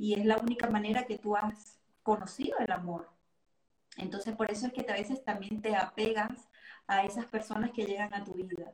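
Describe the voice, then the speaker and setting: Her voice is fairly high-pitched and somewhat breathy. The woman keeps her intonation fairly even. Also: moderate pace. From Venezuela. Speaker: astrologer and tarot reader. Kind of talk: casual interview.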